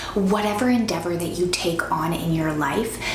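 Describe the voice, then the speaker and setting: Audible room echo and noticeable background noise frame a woman speaking at a moderate pace. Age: 20s. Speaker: lifestyle vlogger. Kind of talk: motivational advice talk.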